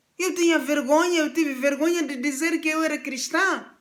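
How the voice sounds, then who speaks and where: A woman's voice with audible room echo. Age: 60s. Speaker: pastor. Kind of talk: sermon.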